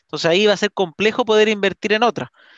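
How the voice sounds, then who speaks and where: Fairly quick speech with a Chilean accent, a dry sound with no echo and a quiet background. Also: man. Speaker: real estate investment podcaster. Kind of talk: live-streamed interview podcast. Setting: online live stream. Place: home room. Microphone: headset.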